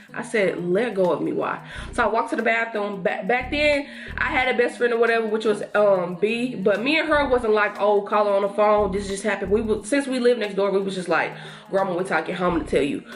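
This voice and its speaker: Fairly high female voice over background music. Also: ordinary pitch variation, fairly quick pace. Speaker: lifestyle YouTuber. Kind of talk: storytime while doing makeup. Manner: fast; animated.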